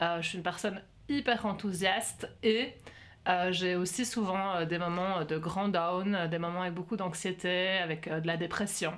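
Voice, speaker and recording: A woman speaks at a fairly slow pace with a fairly low pitch and fairly even intonation. Some room echo can be heard. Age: 40s. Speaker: workshop facilitator. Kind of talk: interview conversation. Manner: hesitant, many fillers.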